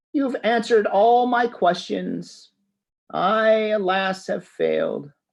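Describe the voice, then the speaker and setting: A put-on character voice with fairly high pitch speaks at a fairly slow pace. The background is quiet. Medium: read story.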